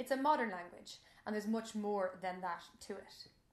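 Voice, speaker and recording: The woman talks at a medium pitch with ordinary pitch variation. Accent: Irish. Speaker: Irish language teacher. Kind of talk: casual explainer talk to camera.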